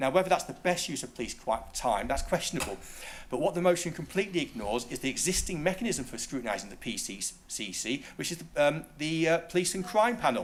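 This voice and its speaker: Audible room echo surrounds a man talking at a very fast pace, his fairly high pitch swinging very widely. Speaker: local councillor. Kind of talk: council debate speech.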